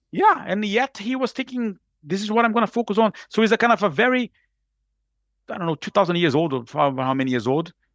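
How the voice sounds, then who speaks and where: In a very clean recording with a silent background and a dry, close sound with no echo, a man with a Brazilian Portuguese accent speaks at a very fast pace in an energetic tone, high-pitched with very wide pitch swings. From Brazil, Rio de Janeiro. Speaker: executive coach. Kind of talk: podcast interview.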